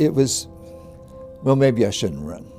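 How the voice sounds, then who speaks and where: There is music in the background as a man speaks with an American accent. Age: old. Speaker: former congressional candidate. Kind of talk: documentary interview answer. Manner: hesitant, halting.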